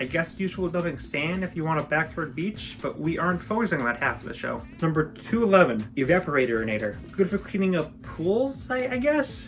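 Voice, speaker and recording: Music plays behind a woman with a fairly low pitch whose voice swings very widely in pitch. She speaks with hardly any pauses. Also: fairly quick pace. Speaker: video essayist. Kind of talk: ranking commentary. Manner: fast, jokey list delivery.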